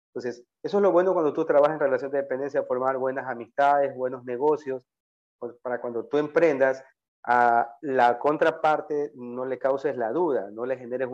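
Against a quiet background, a man with a coastal Ecuadorian accent speaks fairly quickly at a fairly high pitch. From Ecuador, Guayaquil. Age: 40s. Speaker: entrepreneur, auto parts business owner. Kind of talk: interview.

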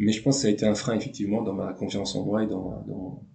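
A man's fairly low voice has vocal fry and a dark, mellow tone. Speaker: former canoe slalom champion. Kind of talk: interview. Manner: halting, many fillers.

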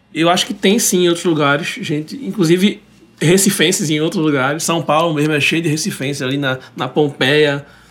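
This man has a normal speaking voice, pitched fairly high, moving at a moderate pace with ordinary pitch variation. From Recife, Brazil. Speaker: singer-songwriter. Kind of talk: casual chat, interview. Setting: radio studio.

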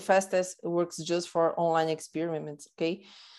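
A woman speaks with a Portuguese accent. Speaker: marketing director, podcast host. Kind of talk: casual interview. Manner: halting, repetitive.

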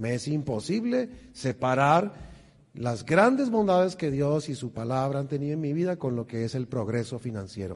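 A man with a plain, everyday voice speaks at a moderate pace, his fairly high pitch carried by lively intonation. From Colombia, Bogotá. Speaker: financial stewardship speaker. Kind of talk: church seminar talk. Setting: church with audience.

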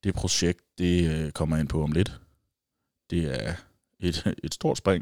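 A man's very deep, low voice with vocal fry, very slow with long, frequent pauses and ordinary pitch variation, in a dry, close sound with no echo on a very clean recording with a silent background. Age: 20s. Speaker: podcast host. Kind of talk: solo casual monologue. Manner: hesitant, many fillers.

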